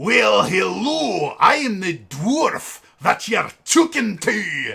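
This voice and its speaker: Using a put-on character voice, a man speaks at a very slow pace and an extremely high pitch. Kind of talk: gruff pub-talk, exaggerated.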